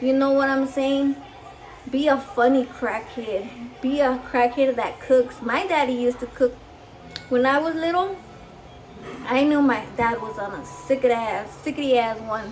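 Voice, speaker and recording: With noticeable background noise behind her, a woman speaks at a fairly slow pace in a high pitch and an animated tone, with ordinary pitch variation and long, frequent pauses. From Mexico. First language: Spanish. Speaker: cooking vlogger. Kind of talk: casual chat.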